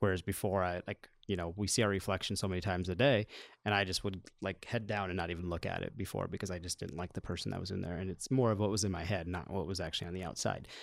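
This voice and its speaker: A man with a very deep, low voice and an American accent speaks at a very fast pace with fairly even intonation in a very clean recording with a silent background. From US Midwest (Iowa). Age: 30s. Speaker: elementary school principal. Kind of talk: casual chat.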